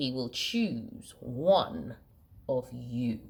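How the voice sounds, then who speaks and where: A woman puts on a character voice. It sits very deep and low. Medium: read story.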